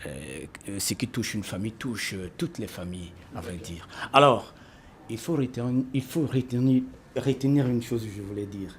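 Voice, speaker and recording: A somewhat breathy man talks at a moderate pace and medium pitch with lively intonation. His loudness swings widely, and he leaves long, frequent pauses. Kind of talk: panel discussion. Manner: formal.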